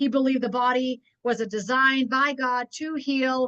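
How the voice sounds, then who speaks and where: A woman speaks in an animated tone at a high pitch. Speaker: network marketing trainer. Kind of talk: business training webinar.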